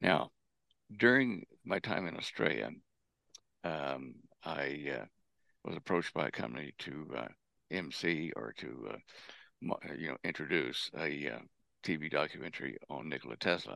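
Speaking in an American accent, a man has a very deep, low pitch, vocal fry and a bright, sharp tone. He talks at a fairly slow pace with long, frequent pauses and lively intonation. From Texas. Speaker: propulsion engineer and researcher. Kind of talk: interview. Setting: remote call.

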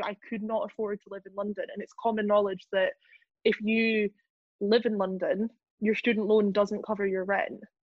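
Speaking with a Scottish accent, a woman uses a fairly high pitch and monotone, flat intonation at a moderate pace, her loudness swinging widely. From Scotland, Lothian. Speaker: journalist. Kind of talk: casual chat.

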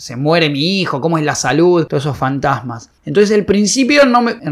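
A man with a Rioplatense accent talks at a moderate pace. His fairly high voice moves with lively intonation. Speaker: film director, actor and comedian. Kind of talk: casual interview chat. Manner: halting, with repetitions.

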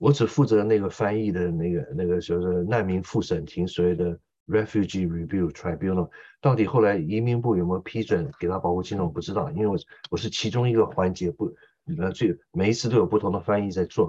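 With a very deep, low pitch and a dark, mellow tone, a man speaks at a fairly quick pace with ordinary pitch variation. The background is quiet. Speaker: interpreter and military commentator. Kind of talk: political commentary interview.

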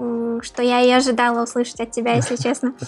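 Noticeable background noise can be heard. The delivery is moderately paced. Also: woman. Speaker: podcast host. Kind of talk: casual interview.

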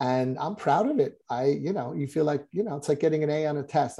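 In a quiet setting, a man talks at a fairly quick pace, his fairly high pitch carrying a dark, mellow tone. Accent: American. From US Northeast, suburban New Jersey. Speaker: marketing professional. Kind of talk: interview.

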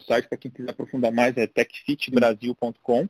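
The man's voice sits at a medium pitch. His intonation stays flat and monotone. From Brasília, Brazil. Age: 40s. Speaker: entrepreneur and tech executive. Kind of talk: casual interview.

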